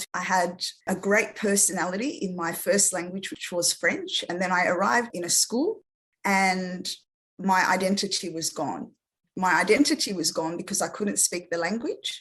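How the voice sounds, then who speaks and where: A woman speaks in an Australian accent at a moderate pace. Her pitch is medium, with ordinary pitch variation. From Australia, after early childhood in France. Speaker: speech therapist. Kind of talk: interview.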